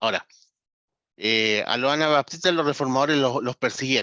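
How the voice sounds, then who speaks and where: A man with a fairly high pitch and a bright, sharp tone speaks with ordinary pitch variation, in a dry, close sound with no echo and a quiet background. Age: 40s. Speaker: pastor and ministry trainer. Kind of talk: online lecture. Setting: video call.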